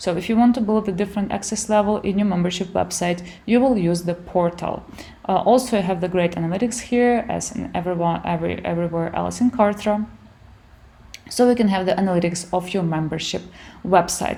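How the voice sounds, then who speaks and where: A woman speaks at a fairly quick pace in a Ukrainian accent, her medium-pitched voice carrying a dark, mellow tone. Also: ordinary pitch variation. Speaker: online business tutor. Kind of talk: software tutorial. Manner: halting, many fillers.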